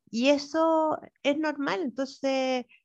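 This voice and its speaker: A woman with a Chilean accent speaks at a high pitch. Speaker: city councillor and sociologist. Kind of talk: interview.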